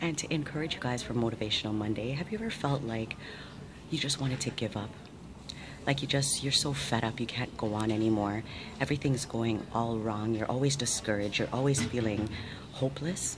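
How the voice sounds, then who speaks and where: A woman whispers at a fairly quick pace. Noticeable background noise runs underneath. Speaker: motivational vlogger. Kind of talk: motivational talk to camera. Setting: hospital surgery preadmission. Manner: whispered. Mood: warm, upbeat, encouraging. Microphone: phone near.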